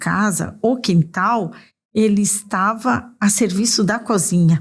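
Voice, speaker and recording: Speaking at a very slow pace, a woman with a somewhat breathy voice holds a medium pitch with ordinary pitch variation. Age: 60s. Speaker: nutrition and gastronomy specialist. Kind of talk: interview conversation.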